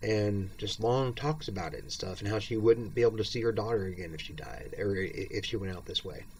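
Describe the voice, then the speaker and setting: Through noticeable background noise, a man with a fairly low pitch speaks at a fairly quick pace, showing ordinary pitch variation and big swings in loudness. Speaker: video blogger with multiple sclerosis. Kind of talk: personal monologue. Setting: at home, bedridden or in chair. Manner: halting.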